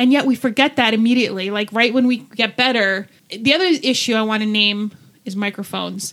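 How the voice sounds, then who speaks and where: The speaker has an ordinary speaking voice, with ordinary pitch variation and a fairly quick pace. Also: woman, fairly high pitch for a woman. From New Jersey, US. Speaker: podcast co-host. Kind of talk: casual chat.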